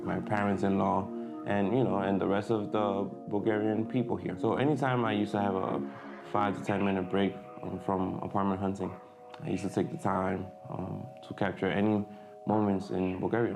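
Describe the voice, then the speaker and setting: Against music in the background and audible room echo, a man speaks fairly quickly in a fairly low voice with ordinary pitch variation. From Dominican Republic. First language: Spanish. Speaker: photographer and vlogger. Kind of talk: casual vlog update. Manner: hesitant, many fillers.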